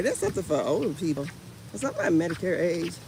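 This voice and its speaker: A woman with an American accent talks through noticeable background noise. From Indiana, US Midwest. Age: 50s. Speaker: vlogger. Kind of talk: casual chat. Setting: outdoors. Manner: animated.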